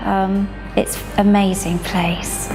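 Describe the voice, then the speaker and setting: A woman speaks with music in the background. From Scotland. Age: 50s. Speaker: spinal cord injury patient. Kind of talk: patient testimonial interview.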